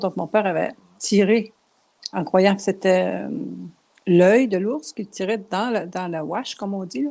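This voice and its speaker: A woman speaks at a fairly slow pace with a medium pitch and ordinary pitch variation. Her tone is dark and mellow. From Quebec, Abitibi region. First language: Cree and Anishinaabe (speaking French). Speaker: painter and writer. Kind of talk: interview.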